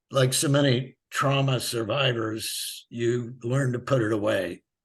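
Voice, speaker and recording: A somewhat breathy man's voice with a Midwestern American accent against a quiet background. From US Midwest, rural Missouri. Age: 80s+. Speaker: author and animal activist. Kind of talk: interview.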